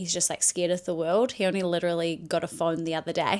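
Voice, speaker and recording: A woman speaks with a New Zealand accent. Her pitch is fairly low. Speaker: content creator. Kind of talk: personal vlog monologue. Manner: casual, rambling with fillers.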